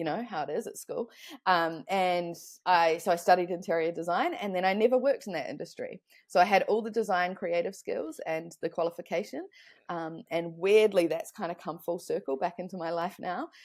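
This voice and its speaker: Recorded very cleanly against a silent background, a woman speaks at medium pitch with a New Zealand accent. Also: ordinary pitch variation, fairly quick pace. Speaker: online business consultant. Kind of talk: podcast interview.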